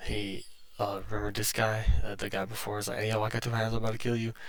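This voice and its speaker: Soft-spoken and fairly low-pitched, a man talks at a fairly quick pace with very wide pitch swings. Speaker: YouTube movie reviewer. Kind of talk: casual movie recap vlog. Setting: at home. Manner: halting, many fillers.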